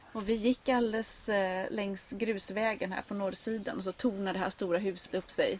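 A woman with an ordinary speaking voice, medium pitch and moderate pace. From Sweden, grew up on an island. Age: 30s. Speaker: gardening blogger and author. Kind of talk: casual interview conversation.

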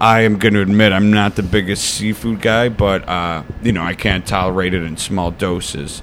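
Fairly low-pitched man with an American accent and fairly even intonation, over noticeable background noise. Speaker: touring metal band member. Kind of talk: casual chat. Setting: on a couch at a rock diner.

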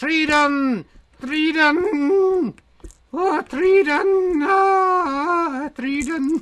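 A high-pitched, put-on character voice at a very slow pace. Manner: defiant, shouting.

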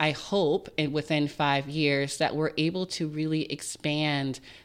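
A woman with an American accent speaks in a very deep, low voice with fairly even intonation. The recording is very clean, with a silent background. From Richmond, Virginia. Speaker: nonprofit executive director. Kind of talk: interview.

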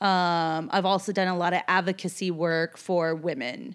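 With an ordinary speaking voice, a woman speaks at a fairly low pitch and a fairly slow pace in a very clean recording with a silent background. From Seattle and New York. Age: 40s. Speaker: tour manager. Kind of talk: casual chat.

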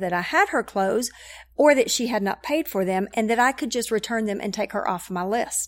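In an American accent, a woman with an ordinary speaking voice talks at a fairly quick pace and fairly high pitch. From Knoxville, Tennessee (US South). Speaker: church connections director. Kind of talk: casual interview.

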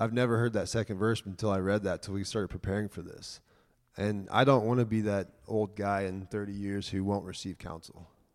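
This man has an ordinary speaking voice, fairly low in pitch with fairly even intonation, on a very clean recording with a silent background. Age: 30s. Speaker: church member preparing for mission work. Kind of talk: church talk.

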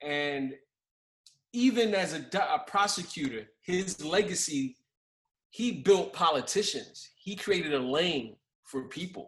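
Very slowly and with lively intonation, a man with a New York accent speaks in a high voice. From New York, Brooklyn. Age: 40s. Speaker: podcast host, criminal defense attorney. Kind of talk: casual interview. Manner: halting, many fillers.

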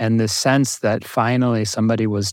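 A man with a plain, everyday voice and an American accent talks at medium pitch and a moderate pace in a very clean recording with a silent background. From US Northeast, North Jersey. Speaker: mindfulness teacher. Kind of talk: interview.

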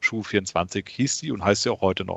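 This is an unremarkable speaking voice with lively intonation. It moves at a moderate pace. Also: man. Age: 30s. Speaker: e-commerce company founder and CEO. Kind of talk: interview. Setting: remote call.

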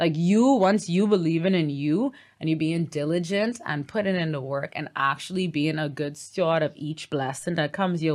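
With a normal speaking voice, a woman speaks at a moderate pace and a fairly low pitch on a very clean recording with a silent background. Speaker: yoga teacher and hoop performer. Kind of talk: casual interview chat.

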